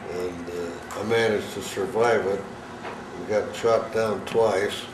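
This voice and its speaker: Over noticeable background noise and audible room echo, a man with an American accent talks at a very slow pace in a fairly low voice. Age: 80s+. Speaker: war veteran. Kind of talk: talk to a school class. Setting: classroom. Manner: halting, many fillers.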